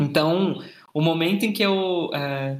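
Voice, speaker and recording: Pitched high, a man's voice moves with ordinary variation. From Brazil, Minas Gerais interior. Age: 20s. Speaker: marketing manager. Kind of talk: interview.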